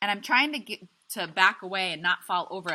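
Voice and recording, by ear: This voice reads aloud naturally.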